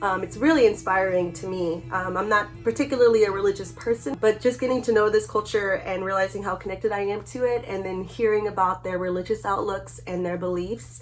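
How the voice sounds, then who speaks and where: A woman's animated, medium-pitched voice at a fairly quick pace, with noticeable background noise. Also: ordinary pitch variation. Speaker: artist. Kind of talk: casual vlog talk.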